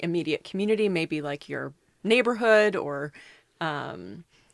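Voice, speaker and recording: At a moderate pace, a woman with a slight Minnesota accent speaks in a fairly low pitch with lively intonation. The sound is dry and close, with no echo, on a very clean recording with a silent background. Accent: slight Minnesota accent on a few words. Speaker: food company executive. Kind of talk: podcast interview.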